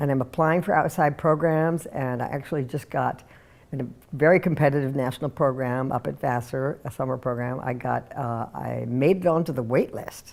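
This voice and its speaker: A woman speaks with a very deep, low pitch and vocal fry. Her pitch variation is ordinary. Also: moderate pace. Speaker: mature student and theater director. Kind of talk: personal testimony.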